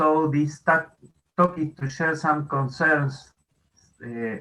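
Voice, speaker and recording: The voice has a non-native accent and a bright, sharp tone. It moves at a very slow pace with fairly even intonation. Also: man, fairly high pitch for a man. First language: Spanish. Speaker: astronomy educator. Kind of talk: conference talk. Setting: video call. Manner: halting.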